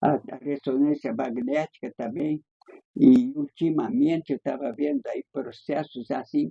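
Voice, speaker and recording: Speaking fairly slowly, a man with a fairly high pitch and a dark, mellow tone uses lively intonation. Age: 90s. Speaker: writer and poet. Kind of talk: interview conversation. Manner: halting.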